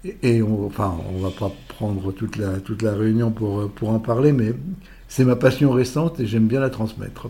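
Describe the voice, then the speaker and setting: A man speaks at a moderate pace in a medium pitch, with ordinary pitch variation, a somewhat breathy quality and a dark, mellow tone. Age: 80s+. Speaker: public speaking coach. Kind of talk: casual interview. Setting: office. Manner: halting, many repetitions and fillers.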